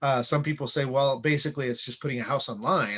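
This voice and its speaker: Against a quiet background, a man of medium pitch talks very fast with ordinary pitch variation. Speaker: real estate agent. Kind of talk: casual vlog talk to camera. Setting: unfinished home office recording. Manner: hesitant, many fillers.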